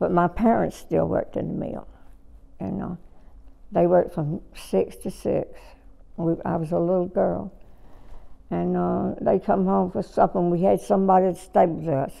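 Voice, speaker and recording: With a Southern US accent, a woman talks at a moderate pace broken by long, frequent pauses. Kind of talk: oral history interview answer.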